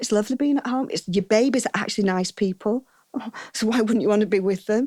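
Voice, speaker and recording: A woman speaks with a northern English accent. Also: dry, close sound with no echo, very clean recording, silent background. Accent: broad northern English. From northern England, Saddleworth near Oldham. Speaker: wedding hair and makeup artist. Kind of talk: interview conversation. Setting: outdoors on a verandah.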